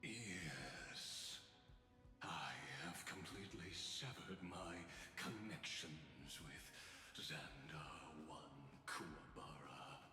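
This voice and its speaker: Whispering very slowly in a theatrical, put-on character voice, a man is heard with a clear echo and loud background noise. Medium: video game. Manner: grand, measured, theatrical.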